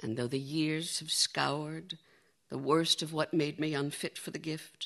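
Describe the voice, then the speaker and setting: A woman's very deep, low voice, gentle in tone and fairly slow in pace. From United States. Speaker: poet. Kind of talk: poetry reading at a festival. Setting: festival stage with audience. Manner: measured, gentle, lyrical, intimate.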